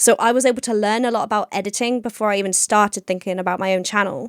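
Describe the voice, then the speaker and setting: A woman with an English accent talks at a very fast pace. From England. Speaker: podcast co-host and YouTuber. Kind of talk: casual chat.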